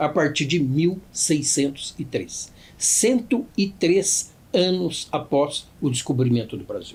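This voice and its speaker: Very wide pitch swings in a man's high voice. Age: 60s. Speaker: judge. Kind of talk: podcast interview, formal explanation. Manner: formal.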